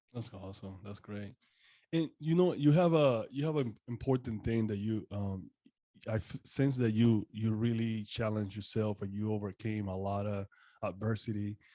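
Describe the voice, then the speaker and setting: In a Spanish accent, a man talks at a moderate pace with a fairly low pitch, a dark, mellow tone and ordinary pitch variation. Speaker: podcast host. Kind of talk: interview. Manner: halting.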